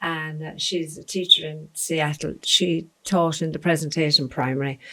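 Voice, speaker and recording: Fairly slow speech from a woman in an Irish accent, bright and sharp in tone, with fairly even intonation. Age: 60s. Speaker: interviewee sharing life memories. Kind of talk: casual interview chat.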